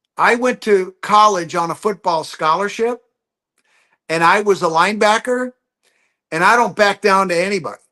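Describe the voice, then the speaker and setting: In an American accent, a man speaks with an animated, bright and sharp tone, his high voice raised and projected at a moderate pace with ordinary pitch variation and long, frequent pauses. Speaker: geologist. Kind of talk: interview.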